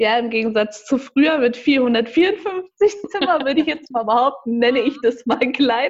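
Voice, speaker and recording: A woman's high-pitched voice with lively intonation at a fairly slow pace. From Hesse, Germany (Marburg). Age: 20s. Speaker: head housekeeper. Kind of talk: podcast interview.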